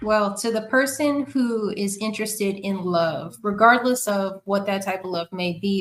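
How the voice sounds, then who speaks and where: A woman at a medium pitch, with a New York accent. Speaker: podcast guest. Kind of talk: casual interview conversation.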